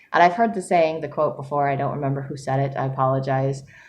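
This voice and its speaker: Ordinary pitch variation comes through with audible room echo. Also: woman. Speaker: writer vlogger. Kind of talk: casual vlog monologue. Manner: fast; higher pitch when excited.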